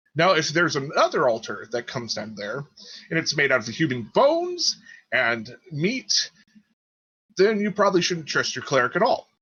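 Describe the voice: A man performs a put-on character voice with big pitch swings. His tone is bright and sharp, with a slightly husky edge. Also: fairly high pitch for a man, moderate pace.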